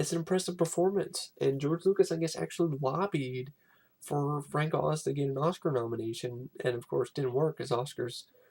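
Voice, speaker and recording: At a moderate pace, a man speaks in a fairly high pitch with ordinary pitch variation and a somewhat breathy sound. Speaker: film reviewer. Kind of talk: casual vlog review. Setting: at home. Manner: halting, many fillers; whispering, quiet.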